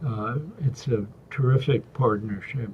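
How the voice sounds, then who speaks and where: A man's very slow, somewhat breathy voice at medium pitch, with a dark, mellow tone and fairly even intonation. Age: 80s+. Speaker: executive coach and former university president. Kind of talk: interview. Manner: halting.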